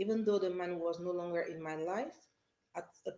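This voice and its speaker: A woman with a dark, mellow tone speaks with ordinary pitch variation. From France, Paris. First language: French. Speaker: pastor. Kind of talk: teaching talk.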